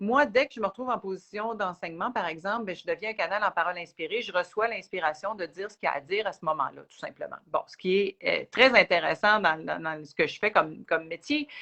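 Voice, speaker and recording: With a Quebec accent, a woman talks at a very fast pace with hardly any pauses, using a bright, sharp tone, medium pitch, lively intonation, and big swings in loudness. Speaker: spiritual teacher. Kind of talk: live Q&A chat. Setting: livestream video.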